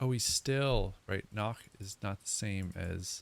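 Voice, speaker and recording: A man's fairly low voice at a very slow pace, with ordinary pitch variation, on a very clean recording with a silent background. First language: not German (English speaker learning German). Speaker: language learner streamer. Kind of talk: casual language-learning livestream. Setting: live stream at home. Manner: halting, thinking aloud.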